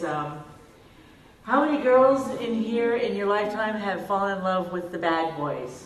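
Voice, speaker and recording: Over noticeable background noise, a woman talks at a fairly slow pace with a medium pitch and lively intonation. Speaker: comic writer. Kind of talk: panel discussion. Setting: stage with audience.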